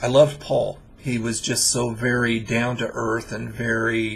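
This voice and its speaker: Over noticeable background noise, a man speaks at a medium pitch in a flat monotone. His pace is fairly slow. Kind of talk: casual spoken introduction to viewers.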